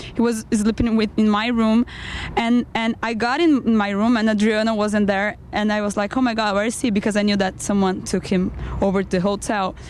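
Against noticeable background noise, a woman with a Brazilian accent speaks at a fairly quick pace, her fairly high pitch held in fairly even intonation. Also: very even loudness. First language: Portuguese. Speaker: band member, musician.

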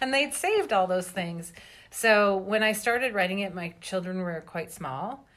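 This woman has an unremarkable speaking voice at medium pitch. She talks at a moderate pace with ordinary pitch variation. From Canada, British Columbia. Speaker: novelist. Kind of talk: interview.

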